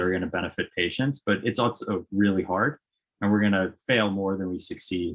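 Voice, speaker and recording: A man with an American accent talks at a very fast pace in a fairly low pitch. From US, Boston area. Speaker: biotech CEO. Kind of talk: panel discussion. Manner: hesitant, many fillers.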